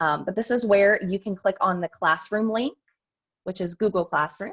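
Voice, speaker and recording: With a dry, close sound and no echo, a woman speaks at a medium pitch with ordinary pitch variation. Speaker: elementary school teacher presenting to parents. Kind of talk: tutorial. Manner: fast.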